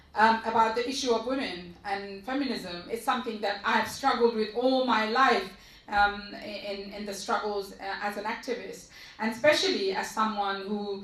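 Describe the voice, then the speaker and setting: A woman speaks at a fairly high pitch and a moderate pace, with ordinary pitch variation. Noticeable background noise and audible room echo fill the recording. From East London, England. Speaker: activist. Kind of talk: panel discussion. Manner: halting.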